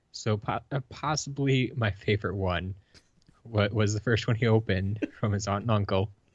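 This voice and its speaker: With a Wisconsin accent, a man speaks somewhat breathily at a fairly low pitch and moderate pace, with ordinary pitch variation. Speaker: podcast co-host. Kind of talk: casual chat.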